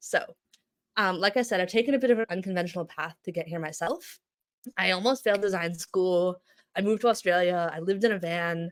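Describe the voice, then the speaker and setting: Ordinary pitch variation marks a woman's medium-pitched voice. She talks at a very fast pace. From international childhood, then US. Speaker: brand designer and studio founder. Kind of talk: conference talk. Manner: casual, filler-heavy.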